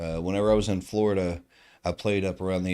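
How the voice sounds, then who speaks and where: The voice carries a Southern US accent and fairly even intonation. It comes through in a very clean recording with a silent background. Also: man. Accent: Southern drawl. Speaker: darts commentator. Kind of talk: live sports commentary. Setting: live stream at a darts tournament.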